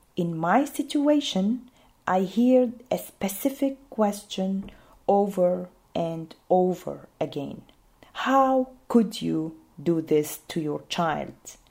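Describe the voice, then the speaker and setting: A woman speaks very slowly with an Arabic accent, her pitch medium for a woman. Her pitch swings very widely. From Syria. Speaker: refugee mother telling her story. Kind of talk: personal testimony.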